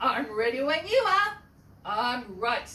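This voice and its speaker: A female-sounding, put-on character voice comes at a high pitch and a fairly slow pace. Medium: read story.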